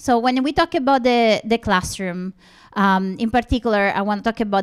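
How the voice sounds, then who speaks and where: Speaking at a moderate pace with an Italian accent, a woman shows ordinary pitch variation in a very clean recording with a silent background. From Italy. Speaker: linguistics professor. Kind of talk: conference presentation.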